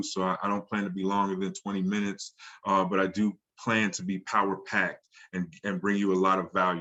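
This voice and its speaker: This man's voice sits fairly low. He moves along at a fairly quick pace. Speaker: AI marketing instructor. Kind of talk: online class. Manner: fast; animated.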